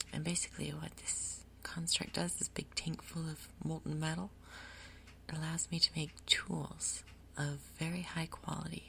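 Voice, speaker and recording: Soft-spoken woman talking at a moderate pace. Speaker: ASMR creator. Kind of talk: ASMR gaming commentary.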